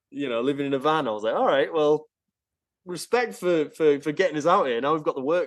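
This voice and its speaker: In an American accent, a man talks at a fairly high pitch with ordinary pitch variation. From northern England, Yorkshire (York). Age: 30s. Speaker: rock musician. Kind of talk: interview, casual chat. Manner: casual, hesitant with many fillers and repeats.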